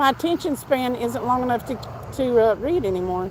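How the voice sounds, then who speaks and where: With a Southern US accent, a woman speaks at a high pitch. Her intonation is lively and her pace fairly quick. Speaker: fishing livestreamer. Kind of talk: casual chat.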